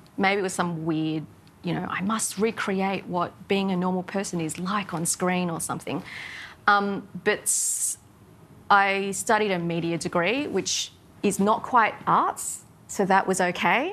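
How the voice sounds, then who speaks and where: A woman speaks with an Australian accent at a medium pitch. Her pace is fairly slow and her intonation fairly even. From southwest Sydney, Australia. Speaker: TV content executive; interviewee. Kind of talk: interview. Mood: reflective, personal. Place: cafe. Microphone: lapel.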